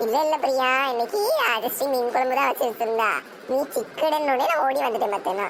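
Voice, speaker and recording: This woman performs a cartoonish character voice at a high pitch. Her loudness stays very even over clear background noise. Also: moderate pace. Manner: complaining, dramatic.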